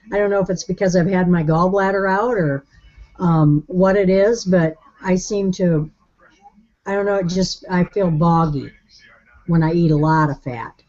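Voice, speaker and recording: A woman's medium-pitched voice with ordinary pitch variation, at a moderate pace with long, frequent pauses. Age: 60s. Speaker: participant in online support group. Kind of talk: casual chat. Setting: video call.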